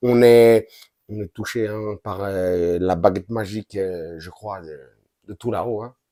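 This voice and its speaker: A man speaks at a very slow pace in a dark, mellow tone. The sound is dry and close with no echo, on a very clean recording with a silent background. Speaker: football YouTuber. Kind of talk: match recap commentary. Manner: animated.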